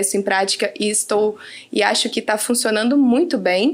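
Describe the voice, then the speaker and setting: This woman's voice sits fairly high, with ordinary pitch variation. She talks at a fairly quick pace. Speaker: team leader in a company. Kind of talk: casual podcast conversation.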